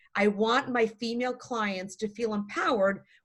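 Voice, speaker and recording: A woman's fairly high, somewhat breathy voice. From Poland, moved to US at seven. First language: Polish. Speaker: divorce attorney. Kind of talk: interview on a group call. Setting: online group call.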